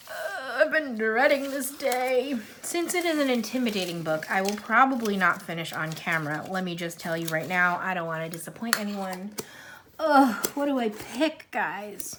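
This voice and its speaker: Her pitch fairly high and swinging very widely, a woman speaks over noticeable background noise. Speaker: coloring YouTuber. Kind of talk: casual chat. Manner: fast; animated.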